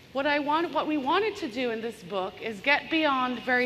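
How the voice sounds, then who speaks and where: An animated woman's voice with audible room echo. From Bangladesh. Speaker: business consultant and author. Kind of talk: conference keynote talk. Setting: stage with audience, large room. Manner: animated, engaging the audience.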